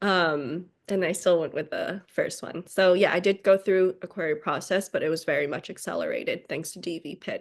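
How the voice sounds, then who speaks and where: A woman speaks with a Chinese accent at a moderate pace, with hardly any pauses. Her pitch varies in an ordinary way while her loudness swings widely. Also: medium pitch for a woman, quiet background. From China, Beijing. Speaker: novelist. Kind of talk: interview. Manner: hesitant, many 'um' fillers.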